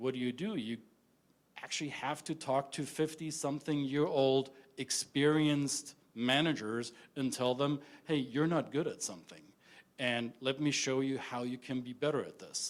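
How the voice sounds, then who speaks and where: A man's fairly high voice in a very clean recording with a silent background. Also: moderate pace. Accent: German. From Germany. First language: German. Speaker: intercultural business consultant. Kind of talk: conference talk. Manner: direct, some stammering.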